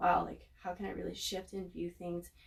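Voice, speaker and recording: Here a woman speaks at a fairly quick pace. Noticeable background noise sits behind her. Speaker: astrologer and tarot reader. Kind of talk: casual astrology talk to viewers. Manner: fast; energetic, filler-heavy.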